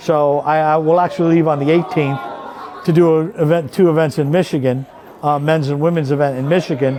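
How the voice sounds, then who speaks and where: A man speaks at a fairly quick pace with a fairly high pitch. Audible room echo and crowd noise fill the background. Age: 60s. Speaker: pool referee. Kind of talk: casual interview. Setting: pool hall. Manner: animated storytelling.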